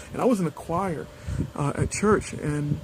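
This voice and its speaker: A man's voice is heard with noticeable background noise. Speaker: video blogger on weight-loss surgery. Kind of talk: casual personal vlog. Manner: halting, many fillers.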